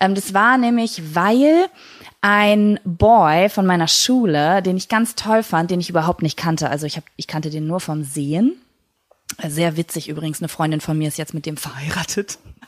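With lively intonation and a fairly low pitch, a woman with an ordinary speaking voice talks at a moderate pace on a very clean recording with a silent background. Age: 30s. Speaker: podcast host. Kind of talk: casual monologue.

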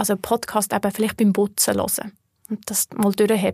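A woman at medium pitch talks at a moderate pace with a dark, mellow, somewhat breathy tone, recorded dry and close with no echo on a very clean recording with a silent background. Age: 30s. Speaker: personal finance educator. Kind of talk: interview conversation.

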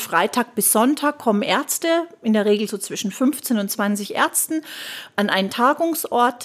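Here a woman speaks in a plain, everyday voice with a fairly high pitch. Her intonation is lively and her pace moderate. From Germany, Würzburg (Lower Franconia). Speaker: nurse and healthcare consultant. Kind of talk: interview.

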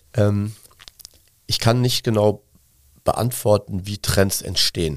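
Speaking at a fairly slow pace, a man with a fairly low pitch uses ordinary pitch variation. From Cologne, Germany. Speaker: gin brand owner and marketing agency owner. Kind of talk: interview.

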